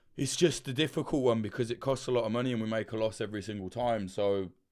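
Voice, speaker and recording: Speaking with a London accent, a man talks at a very fast pace. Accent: British English, London. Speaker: documentary journalist and channel host. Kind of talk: livestream chat answering superchats. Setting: livestream. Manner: loud; animated.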